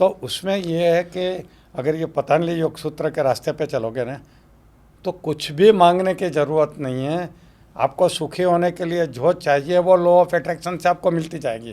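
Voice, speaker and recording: A high-pitched man's voice with a dark, mellow tone and ordinary pitch variation. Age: 70s. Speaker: motivational speaker. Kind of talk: podcast interview answer. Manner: energetic.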